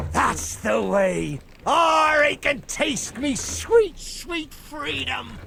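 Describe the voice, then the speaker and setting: Someone speaks very slowly in a put-on character voice, with clear background noise. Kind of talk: pirate theatrics. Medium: video game. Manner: grandiose, wheedling.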